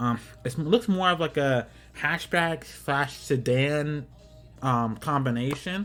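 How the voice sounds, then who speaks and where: Music runs in the background. Over it, a man talks with ordinary pitch variation. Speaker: gaming YouTuber. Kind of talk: casual commentary. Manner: rambling, repetitive phrasing; fast.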